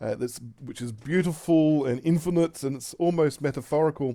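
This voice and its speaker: Heard in a very clean recording with a silent background, a man with an Australian accent speaks in a dark, mellow tone at a moderate pace with fairly even intonation. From Australia (Tasmania). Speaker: pastor. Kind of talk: recorded talk voiceover over slides. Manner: halting, many fillers and restarts.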